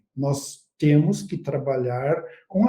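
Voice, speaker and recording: A man speaks at a very slow pace in a dark, mellow tone that is somewhat breathy. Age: 60s. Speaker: agronomy researcher and consultant. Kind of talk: expert interview in a live webinar. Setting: online live stream.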